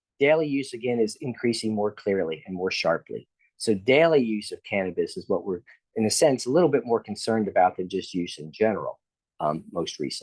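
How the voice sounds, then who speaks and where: An unremarkable speaking voice from a man, medium in pitch, fairly quick, with lively intonation, on a very clean recording with a silent background. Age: 60s. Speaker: professor of psychiatry, researcher. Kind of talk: lecture. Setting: lecture hall with in-person audience.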